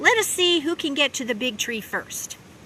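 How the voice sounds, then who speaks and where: Using a put-on character voice pitched high, a woman speaks at a moderate pace over clear background noise. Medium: read story.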